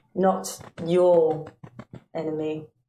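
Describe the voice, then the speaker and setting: This is a put-on character voice. It sounds guttural and sits at a middle pitch. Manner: imitating another voice.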